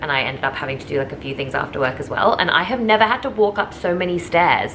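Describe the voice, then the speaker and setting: A woman's fairly low-pitched voice with lively intonation, over noticeable background noise. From England then Australia. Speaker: lifestyle vlogger. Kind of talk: vlog narration. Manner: animated.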